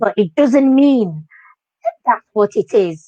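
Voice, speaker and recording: A woman speaks in an animated tone with a Moroccan accent. The sound is dry and close, with no echo. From Morocco. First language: Moroccan Arabic. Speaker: dance teacher. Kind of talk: interview.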